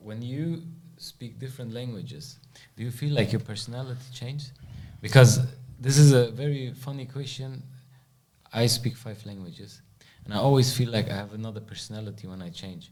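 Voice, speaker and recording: A man talks at a fairly quick pace with medium pitch, ordinary pitch variation and a somewhat breathy voice. Long, frequent pauses and big swings in loudness come through audible room echo. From Germany. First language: German. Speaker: podcast host. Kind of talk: podcast interview.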